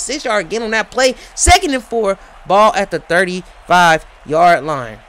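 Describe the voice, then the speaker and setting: Talking at a fairly slow pace, a man sounds animated against noticeable background noise. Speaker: sports play-by-play commentator. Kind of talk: live commentary. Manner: loud.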